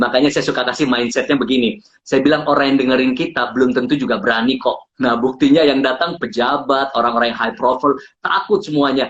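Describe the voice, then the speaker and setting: Very rapid speech carries ordinary variation in pitch. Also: man, medium pitch for a man. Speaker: public speaking coach. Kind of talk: interview on live stream. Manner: animated.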